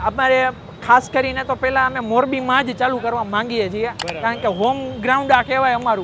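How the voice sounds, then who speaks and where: A man speaks in a raised, projected voice at an extremely high pitch. His intonation is fairly even, with noticeable background noise behind him. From Gujarat, India (Morbi). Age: 20s. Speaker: startup founder. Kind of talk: interview.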